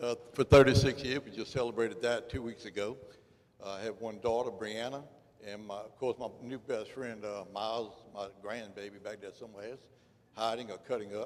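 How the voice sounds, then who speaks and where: With a Louisiana accent, a man of medium pitch speaks at a moderate pace with fairly even intonation and big swings in loudness. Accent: Louisiana Southern US. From Louisiana, Port Allen. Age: 60s. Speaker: political candidate, law enforcement officer. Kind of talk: candidate forum speech. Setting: community center with audience. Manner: halting, many fillers.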